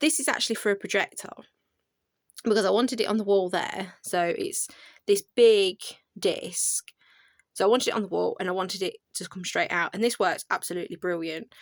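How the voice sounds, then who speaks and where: A woman with a British accent, medium pitch and ordinary pitch variation, a fairly quick pace broken by long, frequent pauses, in a dry, close sound with no echo. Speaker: craft content creator. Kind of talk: casual video tour. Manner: fast.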